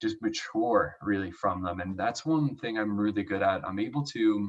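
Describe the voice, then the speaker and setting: The speaker is a man with an American accent. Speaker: Olympic swimmer, speaker. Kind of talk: motivational talk. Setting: online event. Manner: energetic, chatty.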